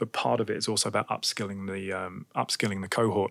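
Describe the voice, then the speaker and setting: In a British accent, a man speaks fairly quickly with vocal fry, the sound dry and close with no echo. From UK. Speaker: tech startup co-founder. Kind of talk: interview.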